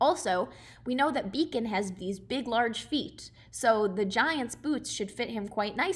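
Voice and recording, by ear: A natural voice reading text aloud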